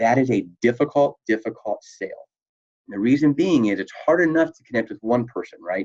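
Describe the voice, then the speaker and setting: The man talks at a fairly quick pace with medium pitch and ordinary pitch variation. His voice is dry and close, with no echo. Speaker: hospitality sales instructor. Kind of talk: recorded online lecture. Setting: recording at computer webcam. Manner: loud; animated.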